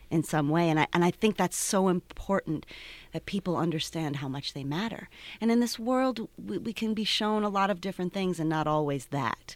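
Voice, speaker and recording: In a normal speaking voice with an American accent, a woman speaks at a fairly quick pace with lively intonation and fairly low pitch, on a very clean recording with a silent background and a dry, close sound with no echo. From Cleveland, Ohio. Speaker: theater co-founder and director. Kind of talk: casual interview.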